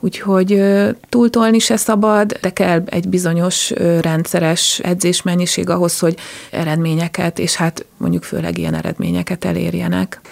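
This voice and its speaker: A moderate pace over noticeable background noise. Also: woman. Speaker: dog agility team captain and judge. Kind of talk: interview. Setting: studio.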